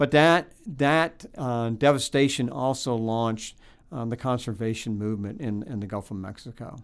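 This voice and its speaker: On a very clean recording with a silent background, someone with an American accent speaks at a moderate pace with ordinary pitch variation. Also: man, medium pitch for a man. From Florida. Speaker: history professor and author. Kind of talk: interview. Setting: on a university campus. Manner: halting, many fillers and repetitions.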